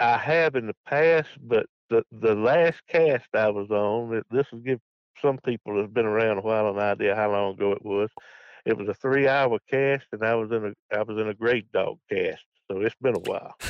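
A man with a Southern US accent talks at a medium pitch with ordinary pitch variation. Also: moderate pace. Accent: Southern US (Georgia). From US South, Georgia. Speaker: retired state trooper and coon hunter. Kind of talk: casual interview chat.

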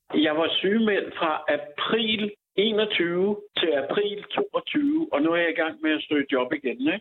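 The voice moves at a very slow pace with very wide pitch swings and very even loudness. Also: man, high pitch for a man. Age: 60s. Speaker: unemployed IT developer facing eviction. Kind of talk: interview. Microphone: echo in empty room.

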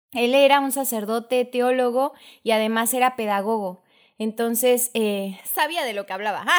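A woman uses a normal speaking voice, fairly high in pitch with ordinary pitch variation, at a moderate pace. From Mexico, Chiapas (Tuxtla Gutiérrez). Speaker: children's catechist and lawyer. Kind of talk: casual chat.

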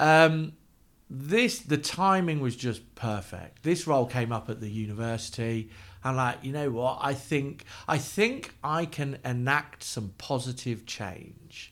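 A man talks at a fairly slow pace and a medium pitch. His intonation is lively. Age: 40s. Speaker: university business engagement manager and entrepreneur. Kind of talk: casual interview chat. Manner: animated, energetic; hesitant restarts, repeated words.

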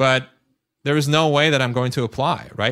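A man with a Turkish accent speaks at a moderate pace and a fairly high pitch. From Turkey, Istanbul. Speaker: author and former rocket scientist. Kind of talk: interview conversation. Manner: repeats words, fillers.

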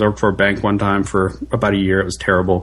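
A man talks with vocal fry. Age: 30s. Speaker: tech operations engineer. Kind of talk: casual chat. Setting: podcast interview.

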